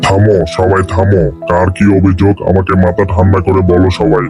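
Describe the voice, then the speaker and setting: A man puts on a cartoonish character voice, very deep and low in pitch, at a moderate pace. Clear music plays in the background. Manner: calm, commanding.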